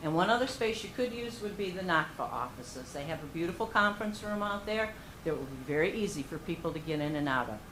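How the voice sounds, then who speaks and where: A woman's lively intonation at a fairly quick pace, with audible room echo. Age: 60s. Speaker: member of the public at a meeting. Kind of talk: public comment. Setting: township board meeting.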